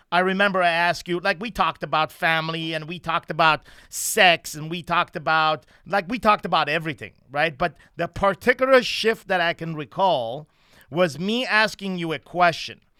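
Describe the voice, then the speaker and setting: A man's high-pitched voice with a non-native accent, fairly quick pace, ordinary pitch variation, bright, sharp tone, and dry, close sound with no echo in a very clean recording with a silent background. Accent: foreign. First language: not English (Persian or French). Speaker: lead trainer of men's coaching program. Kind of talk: podcast conversation. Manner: halting, with filler words.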